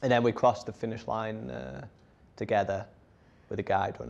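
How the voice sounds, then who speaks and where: With vocal fry, a man speaks at a fairly quick pace. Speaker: blind adventurer and runner giving a talk. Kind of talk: talk with audience questions.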